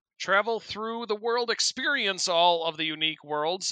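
A man with a high pitch uses a raised, projected voice with a bright, sharp tone. He keeps a moderate pace and ordinary pitch variation in a dry, close sound with no echo. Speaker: podcast co-host. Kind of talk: casual banter.

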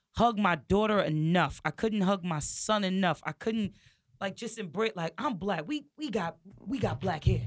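On a very clean recording with a silent background, a woman with a medium pitch speaks at a fairly slow pace, her tone animated and her intonation lively. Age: 40s. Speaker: podcast co-host. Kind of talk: casual chat.

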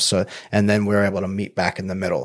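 Recorded very cleanly against a silent background, a man with a fairly low pitch and a plain, everyday voice speaks at a fairly quick pace. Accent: American. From Long Island, New York. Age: 40s. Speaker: life coach and former MMA fighter. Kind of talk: casual interview.

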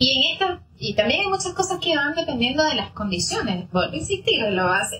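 Against noticeable background noise, a woman talks at a fairly quick pace in a raised, projected voice with very wide pitch swings. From Venezuela. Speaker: psychologist. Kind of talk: interview, explanatory.

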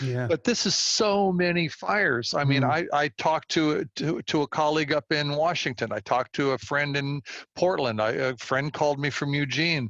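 A man's fairly high voice with ordinary pitch variation at a moderate pace, dry and close with no echo. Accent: Californian. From US West Coast, Walnut Creek, California. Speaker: environmental philanthropist and community organizer. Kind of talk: interview conversation. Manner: halting, many fillers and repeated words.

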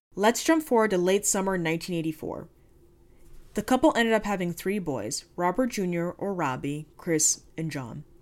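In an ordinary speaking voice, a woman talks at a moderate pace and medium pitch with lively intonation. The recording is very clean, and the background is silent. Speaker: true crime podcast host. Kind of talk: true-crime narration. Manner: conversational, wry, informal asides.

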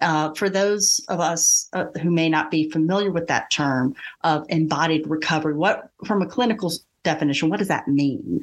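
A woman speaks at a moderate pace in a fairly low pitch. Her loudness is very even, with ordinary pitch variation. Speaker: podcast host and English teacher. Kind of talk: interview conversation.

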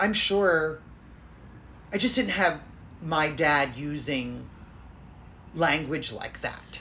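Speaking at a very slow pace with long, frequent pauses, a woman with an American accent uses a very deep, low pitch, lively intonation, vocal fry and a bright, sharp tone. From Florida, US. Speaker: podcast host.

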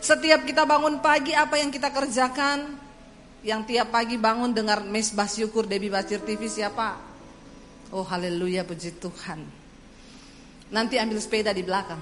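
Amid noticeable background noise and audible room echo, a woman with a fairly high pitch speaks at a moderate pace with lively intonation. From Indonesia, Central Sulawesi (Poso). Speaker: evangelist preacher. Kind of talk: sermon.

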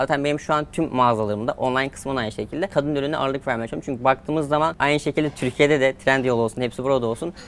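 A man talks at a very fast pace with hardly any pauses. His medium-pitched voice has fairly even intonation. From Turkey, rural village. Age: 20s. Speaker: online seller, entrepreneur. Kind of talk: interview.

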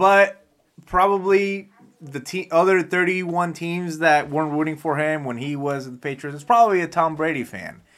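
At a moderate pace, a man with an ordinary speaking voice and a fairly high pitch shows ordinary pitch variation and big swings in loudness. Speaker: podcast host. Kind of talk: casual banter. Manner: joking, profane.

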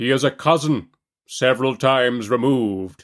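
A booming, put-on character voice speaks at a moderate pace on a very clean recording with a silent background. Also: man. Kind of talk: formal, pompous.

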